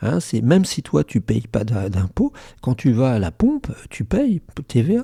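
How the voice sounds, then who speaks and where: A man with a dark, mellow tone speaks at a fairly slow pace and medium pitch, somewhat breathy and with lively intonation. The recording is very clean, with a silent background and a dry, close sound with no echo. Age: 60s. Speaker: YouTuber commentator. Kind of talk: casual commentary. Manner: animated, hesitant with repetitions.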